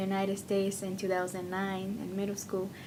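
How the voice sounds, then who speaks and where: A woman speaks at medium pitch in a dark, mellow tone with monotone, flat intonation. Her pace is moderate, and there is audible room echo. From Mexico, Hidalgo. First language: Spanish and Otomi. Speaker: university student. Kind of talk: casual interview.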